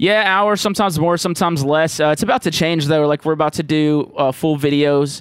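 A man with a Southern US accent speaks fairly quickly at a fairly high pitch with ordinary pitch variation, very even loudness and hardly any pauses, on a very clean recording with a silent background. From Jackson, Mississippi. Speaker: music producer and comedian. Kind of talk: casual chat.

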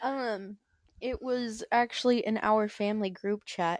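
Against a quiet background, a woman with an unremarkable speaking voice talks at a medium pitch and fairly slow pace, the sound dry and close with no echo. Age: young. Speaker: podcast co-host. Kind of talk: casual chat.

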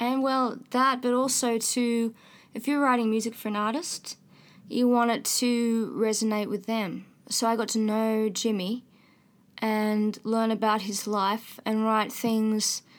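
In a very clean recording with a silent background, a woman talks at a fairly slow pace in a fairly high pitch with monotone, flat intonation. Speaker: singer-songwriter. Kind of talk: casual interview conversation. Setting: studio. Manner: disjointed phrasing, halting.

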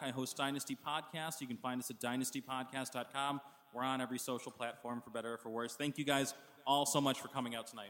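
A man at a very fast pace in a monotone, flat delivery. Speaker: podcast host and panel moderator. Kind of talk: moderated live panel discussion. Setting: live panel in a bar with audience.

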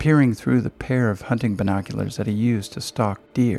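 Words are read aloud here in a natural voice.

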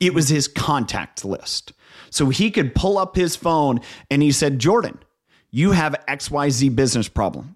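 In a very clean recording with a silent background, a man with a Midwestern American accent speaks at a moderate pace, his fairly high pitch carrying lively intonation. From Northeast Ohio. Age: 40s. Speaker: leadership coach and entrepreneur. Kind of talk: interview conversation.

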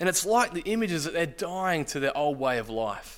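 In a very clean recording with a silent background, a man with an ordinary speaking voice talks at a fairly high pitch with lively intonation. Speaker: church leader baptising people. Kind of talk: sermon. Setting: church.

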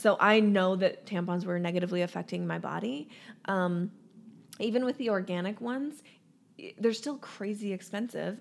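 At a medium pitch, a woman speaks in a plain, everyday voice. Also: very clean recording, silent background. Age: 30s. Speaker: disease prevention educator. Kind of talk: casual chat.

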